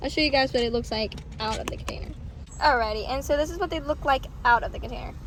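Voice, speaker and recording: Over noticeable background noise, a woman uses a raised, projected voice, high in pitch with lively intonation. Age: young. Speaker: vlogger. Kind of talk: casual vlog. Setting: in a car.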